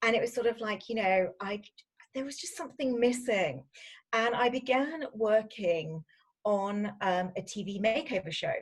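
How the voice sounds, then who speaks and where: A woman with a British accent, fairly high pitch, lively intonation and big swings in loudness. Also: moderate pace. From UK. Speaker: fashion stylist. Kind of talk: interview.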